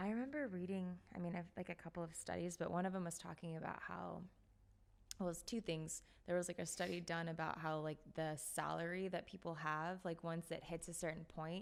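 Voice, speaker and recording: A woman talks at a fairly quick pace in a plain, everyday voice. Her pitch is fairly low and her intonation fairly even. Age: 30s. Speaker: podcast host. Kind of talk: casual chat. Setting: studio.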